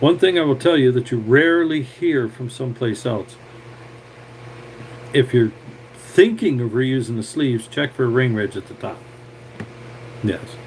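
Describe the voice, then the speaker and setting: A man with a medium-pitched voice speaks at a moderate pace with ordinary pitch variation and long, frequent pauses. His loudness swings a lot, over noticeable background noise. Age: 60s. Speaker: tractor mechanic. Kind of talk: live stream talk and repair tutorial. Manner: casual, rambling with filler words.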